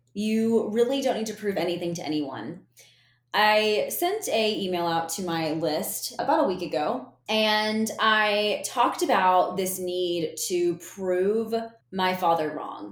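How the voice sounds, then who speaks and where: The woman talks very slowly, her pitch medium and its variation ordinary. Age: 20s. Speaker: podcast host, business coach, former TV reporter. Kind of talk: solo podcast monologue. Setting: solo podcast recording. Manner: casual, chatty.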